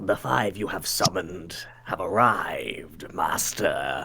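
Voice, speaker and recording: A whispered put-on character voice at a fairly slow pace, with clear background noise. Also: man. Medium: actual play. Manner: polite, measured.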